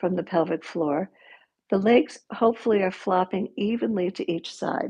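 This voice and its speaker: At a moderate pace, a woman uses a plain, everyday voice with a medium pitch and ordinary pitch variation. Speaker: yoga teacher. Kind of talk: guided yoga class. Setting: livestream. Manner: instructional, calm.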